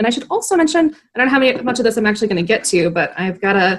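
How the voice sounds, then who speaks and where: A woman talks very fast with a Wisconsin accent. Her intonation is lively. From northeastern Wisconsin, US. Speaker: newspaper opinion editor, interviewer. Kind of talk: casual interview chat. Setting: video call.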